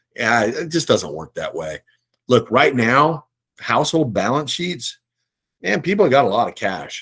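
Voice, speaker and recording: A man with a fairly high pitch and vocal fry talks at a moderate pace, his pitch swinging very widely and his loudness rising and falling sharply. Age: 60s. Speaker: investment firm CEO. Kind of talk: casual chat. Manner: conversational, hesitant fillers.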